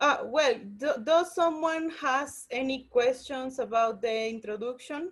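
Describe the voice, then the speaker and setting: With a non-native accent, a woman speaks at a fairly slow pace and a high pitch, using ordinary pitch variation. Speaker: workshop teacher, scientist. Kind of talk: online lecture tutorial. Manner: halting, many fillers and restarts.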